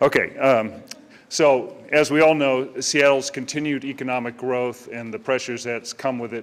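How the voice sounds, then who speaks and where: A man at a moderate pace, an ordinary speaking voice, fairly even intonation. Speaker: commercial real estate broker. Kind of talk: public meeting presentation. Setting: community meeting with audience.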